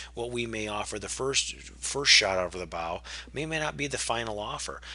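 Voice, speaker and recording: A man speaks at a fairly low pitch with very wide pitch swings. Noticeable background noise sits behind him. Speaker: real estate investor. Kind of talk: webinar presentation. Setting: webinar. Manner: fast.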